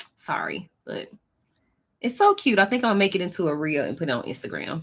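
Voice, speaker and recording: Speaking with an American accent, a woman sounds animated, her intonation lively. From Texas. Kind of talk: casual live-stream chat reading comments. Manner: chatty, animated.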